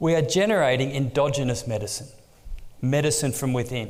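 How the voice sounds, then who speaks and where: A man's medium-pitched voice with an Australian accent, lively intonation, a moderate pace and audible room echo. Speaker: exercise oncology researcher. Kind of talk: conference lecture.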